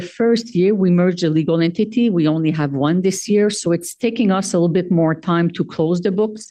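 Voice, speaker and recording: A woman speaks in a French accent with a dark, mellow tone and a fairly low pitch that shows ordinary variation. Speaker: organization treasurer presenting finances. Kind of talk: annual meeting financial report. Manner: hesitant, many filler sounds.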